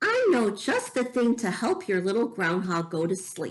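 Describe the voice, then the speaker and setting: A female-sounding put-on character voice runs at a moderate pace and a fairly high pitch. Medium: read story. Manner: friendly, reassuring.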